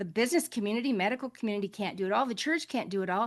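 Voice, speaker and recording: A woman's fairly high-pitched voice with lively intonation over a quiet background. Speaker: faith-based global health advocate. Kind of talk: panel webinar remarks. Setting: online webinar. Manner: impassioned, emotional.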